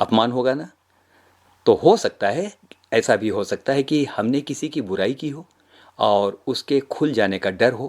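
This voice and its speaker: Lively intonation runs through this man's medium-pitched speech, delivered in a plain, everyday voice. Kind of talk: sermon / devotional talk to audience.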